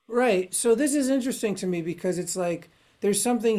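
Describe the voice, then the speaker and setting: This woman has an unremarkable speaking voice. Her intonation is lively and her pace fairly quick. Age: 40s. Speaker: podcast host. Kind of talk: casual chat.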